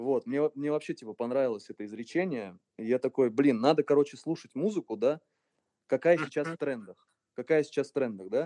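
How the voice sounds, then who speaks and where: In a dark, mellow tone, the voice moves at a fairly quick pace with ordinary pitch variation, the sound dry and close with no echo. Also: man, fairly high pitch for a man. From Russia, Voronezh region. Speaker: electronic music producer and DJ. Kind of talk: casual interview.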